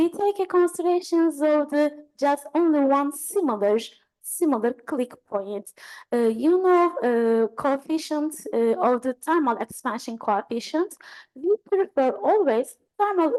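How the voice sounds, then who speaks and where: At a fairly slow pace, a woman with a high pitch speaks with lively intonation and very even loudness. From Turkey. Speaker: engineering professor. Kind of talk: lecture Q&A. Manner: halting.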